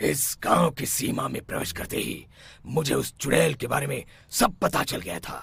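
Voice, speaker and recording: In a raspy, cartoonish character voice, a man at medium pitch speaks at a moderate pace with very wide pitch swings. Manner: solemn, authoritative.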